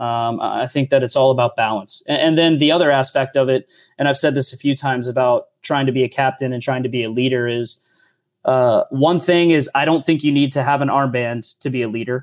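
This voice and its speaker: In a normal speaking voice, a man with an American accent talks at a fairly quick pace, his medium-pitched delivery fairly even in intonation. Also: very clean recording, silent background. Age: 30s. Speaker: professional soccer player. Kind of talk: casual chat.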